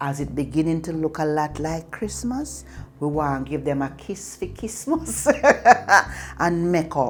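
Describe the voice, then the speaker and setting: A woman with a Jamaican accent speaks at a fairly slow pace. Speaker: storyteller. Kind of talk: casual talk to camera.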